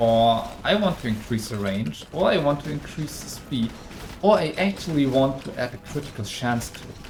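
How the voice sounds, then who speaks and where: The speaker has a German accent. Noticeable background noise is present. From Germany. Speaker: game developer. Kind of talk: live stream Q&A. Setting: live stream. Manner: halting.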